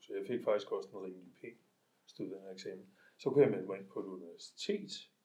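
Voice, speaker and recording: A man talks at a fairly quick pace. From Denmark, Hellerup (north Copenhagen). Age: 50s. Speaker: twelve-step group member. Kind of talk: recovery meeting share. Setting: self-help group meeting. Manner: halting, many filler sounds.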